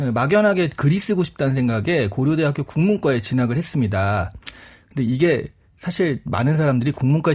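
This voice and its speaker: Very wide pitch swings mark a man's very fast, somewhat breathy speech, kept at very even loudness on a very clean recording with a silent background. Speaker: book youtuber, regular guest. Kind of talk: radio book talk. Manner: animated.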